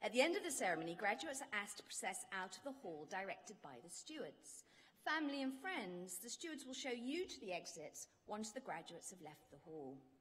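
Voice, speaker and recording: A woman talks at a fairly quick pace with hardly any pauses. Her pitch swings very widely. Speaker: ceremony announcer. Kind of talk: formal announcements. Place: hall. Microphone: podium.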